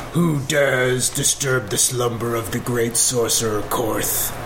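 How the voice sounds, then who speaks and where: Over loud background noise, a rumbling put-on character voice talks at a fairly slow pace. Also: man, medium pitch for a man. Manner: menacing, acted.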